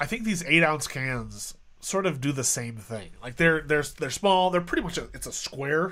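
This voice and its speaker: Bright and sharp in tone, a man's fairly high voice moves with lively intonation at a moderate pace. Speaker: beer reviewer streamer. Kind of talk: casual live stream beer tasting. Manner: halting, stuttering.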